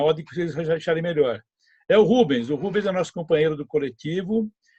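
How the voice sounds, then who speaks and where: A man's high voice, fairly quick in pace and lively in intonation. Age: 70s. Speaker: podcast host, retired civil engineer. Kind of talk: casual panel discussion.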